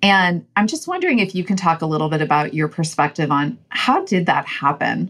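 Using a normal speaking voice, a woman talks at a fairly quick pace with hardly any pauses, a fairly low pitch and ordinary pitch variation. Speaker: company co-founder interviewer. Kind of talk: casual interview chat. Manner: warm, upbeat, laughs often.

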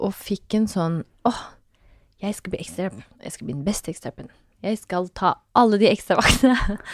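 A woman speaks at medium pitch and a moderate pace, her tone animated and her pitch varying in an ordinary way. Her loudness swings widely, and the sound is dry and close with no echo. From Norway, Fredrikstad (Østfold). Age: 30s. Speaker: fashion entrepreneur and mother. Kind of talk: casual interview chat.

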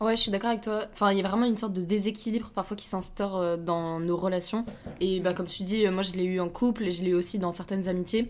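Words come at a very fast pace with fairly even intonation. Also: woman, medium pitch for a woman. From France. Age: 20s. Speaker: podcast guest, host's best friend. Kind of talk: casual chat.

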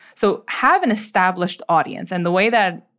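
A woman's unremarkable speaking voice at medium pitch with an American accent, ordinary pitch variation and moderate pace, on a very clean recording with a silent background. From New York City, the Bronx. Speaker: lawyer and budgeting coach, entrepreneur. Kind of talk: interview. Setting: studio.

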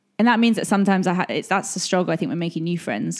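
A woman with an English accent speaks at a fairly low pitch with vocal fry and lively intonation, in a very clean recording with a silent background. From England. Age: 30s. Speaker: blogger and YouTuber. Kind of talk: casual chat. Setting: in person at a kitchen table.

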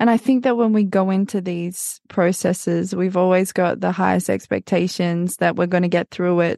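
A woman with an Australian accent, fairly low-pitched and fairly even in intonation, in a dry, close sound with no echo. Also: quiet background. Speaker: podcaster. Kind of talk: interview testimony.

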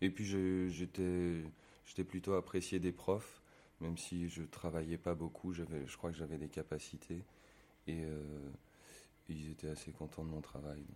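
Pausing long and often, a man speaks at a very deep, low pitch in a dark, mellow tone with fairly even intonation. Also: fairly slow pace. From Savoie, France. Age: 20s. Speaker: actor. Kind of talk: casual interview. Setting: bar. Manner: halting.

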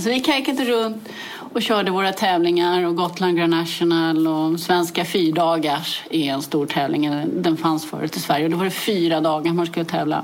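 Over noticeable background noise and audible room echo, a woman with a fairly low pitch speaks at a moderate pace with ordinary pitch variation. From Sweden, Täby (Stockholm area). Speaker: motorcycle rally racer. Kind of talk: interview.

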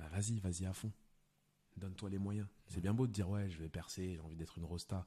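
A man talks at a fairly quick pace with very deep, low pitch and a dark, mellow tone. His intonation is fairly even, and the voice is somewhat breathy. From France, Lyon. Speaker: film director and stand-up comedian. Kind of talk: casual chat.

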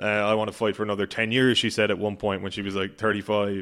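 Speaking at a fairly low pitch with an Irish accent, a man is heard in a very clean recording with a silent background. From Ireland. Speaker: boxing reporter. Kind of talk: casual chat. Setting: podcast recording.

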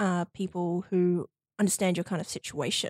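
With an Australian accent, the voice comes through on a very clean recording with a silent background and a dry, close sound with no echo. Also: woman. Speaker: university student, guest sharing queer experience. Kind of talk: casual interview chat. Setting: studio. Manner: talkative.

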